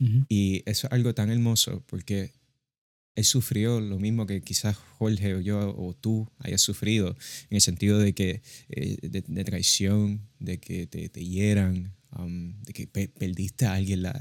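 A normal speaking voice comes with fairly even intonation. The recording is very clean with a silent background. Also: man, fairly low pitch for a man, fairly slow pace. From Puerto Rico. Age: young. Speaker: podcast co-host. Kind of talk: casual religious discussion.

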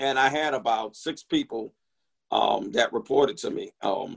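A man with a New York accent talks at a fairly slow pace. The recording sounds dry and close, with no echo. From New York, the Bronx. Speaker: corporate chef. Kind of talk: interview.

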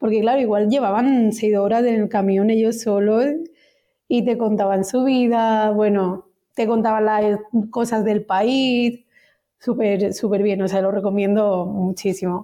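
A woman speaks at a fairly slow pace with a dark, mellow tone and a fairly high pitch. Her loudness stays very even and her intonation fairly even. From Catalonia, Spain (Osona, near Vic). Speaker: insurance company employee. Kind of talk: casual interview. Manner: halting.

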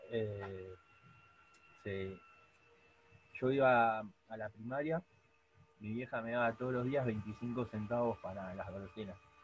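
Somewhat breathy and pitched in the medium range, a man speaks at a fairly slow pace with long, frequent pauses and ordinary pitch variation. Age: 20s. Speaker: podcast co-host. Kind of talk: casual chat.

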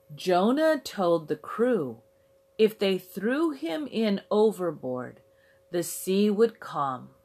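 Over music in the background, a woman talks at a very slow pace with a medium pitch and very wide pitch swings. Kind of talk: children's story narration, read aloud in a simple, clear storybook style. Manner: clear, simple, measured delivery.

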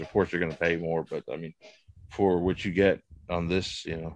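A man's flat, monotone delivery at a fairly quick pace against a quiet background. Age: 40s. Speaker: toy collector. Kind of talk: casual chat.

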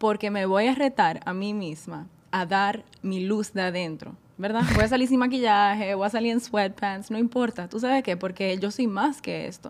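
At a moderate pace, a woman speaks in a plain, everyday voice. Her pitch is medium, with ordinary pitch variation. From Caribbean island (moved from Netherlands at 10). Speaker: wellness enthusiast, marketing graduate. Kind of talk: casual chat.

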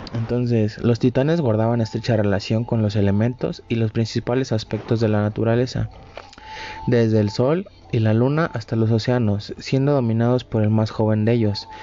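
Over noticeable background noise, a man at a medium pitch keeps his loudness very even, his intonation fairly even and his pace moderate. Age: 20s. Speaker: student podcaster. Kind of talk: storytelling narration. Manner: halting.

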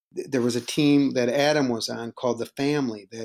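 A man talks with fairly even intonation. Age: 50s. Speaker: improv teacher and comedian. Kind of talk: casual interview. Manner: halting, with many repeated words.

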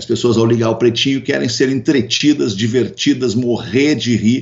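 A man's medium-pitched voice, showing ordinary pitch variation, comes through noticeable background noise. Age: 50s. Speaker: radio host and businessman. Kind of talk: casual interview chat. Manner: halting, many repetitions.

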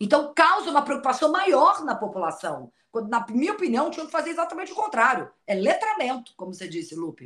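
Speaking at a very fast pace, a woman with a high pitch swings very widely in pitch and makes big jumps in loudness. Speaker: TV presenter and journalist. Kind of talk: casual chat.

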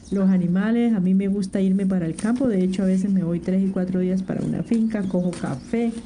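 A woman with a medium pitch keeps a moderate pace while noticeable background noise carries on. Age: 60s. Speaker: domestic worker and community leader. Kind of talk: interview testimony.

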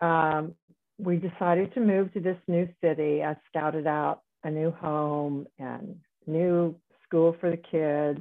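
Here a woman speaks at a very slow pace. Her voice sits at a fairly low pitch with fairly even intonation. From US South. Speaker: retired neonatologist. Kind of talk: interview.

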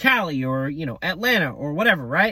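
His tone comes across bright and sharp. The man talks with an American accent. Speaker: podcaster. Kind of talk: casual monologue. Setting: parked car in parking lot. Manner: casual, filler-heavy.

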